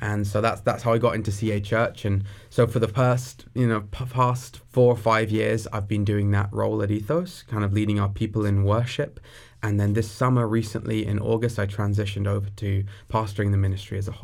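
Speaking at a fairly quick pace in a southern English accent, a man uses a fairly low, monotone, flat voice. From southeast England, near Brighton. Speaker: young adults pastor. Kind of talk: interview conversation.

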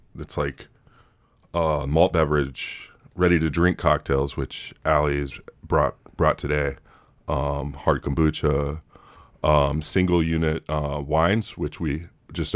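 Very deep, low man's voice with vocal fry and monotone, flat intonation. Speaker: podcast co-host. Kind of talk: casual chat.

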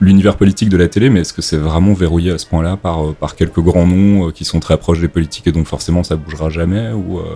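A very deep, low male voice with a dark, mellow tone, fairly even intonation and a very fast pace. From Belgium. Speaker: podcast host. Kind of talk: casual chat.

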